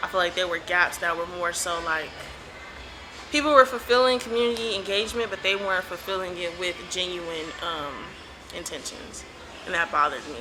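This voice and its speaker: Someone with a Los Angeles accent speaks with lively intonation and long, frequent pauses. Music plays in the background. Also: woman, medium pitch for a woman. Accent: Los Angeles accent, drawn-out. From Los Angeles, Compton. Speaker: community organizer. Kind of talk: interview. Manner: casual, hesitant with fillers.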